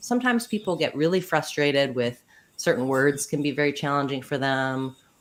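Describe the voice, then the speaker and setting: With an American accent, a woman talks in a very deep, low pitch and makes very wide pitch swings. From US Midwest. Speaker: pronunciation coach and speech pathologist. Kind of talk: interview. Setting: live stream video call.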